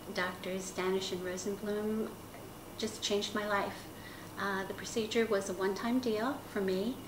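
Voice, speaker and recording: Monotone, flat intonation from a woman at a moderate pace, with audible room echo and noticeable background noise. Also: medium pitch for a woman. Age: 60s. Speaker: patient. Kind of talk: testimony.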